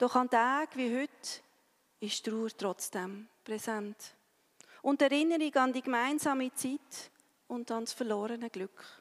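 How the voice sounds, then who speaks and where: A woman's high voice at a very slow pace with ordinary pitch variation, dry and close with no echo, on a very clean recording with a silent background. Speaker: pastor. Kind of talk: sermon. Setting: church. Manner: solemn, slow and measured; earnest, consoling, pausing between short sentences.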